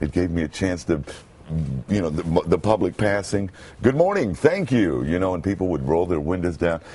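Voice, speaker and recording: A man with an American accent has a very deep, low voice, dark, mellow and resonant, with ordinary pitch variation. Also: moderate pace. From Brooklyn, United States. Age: 50s. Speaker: homeless man turned radio announcer. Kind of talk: interview answer.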